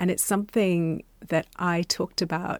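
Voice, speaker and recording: In a very clean recording with a silent background, a woman is talking. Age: 40s. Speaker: doctor. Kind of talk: casual chat.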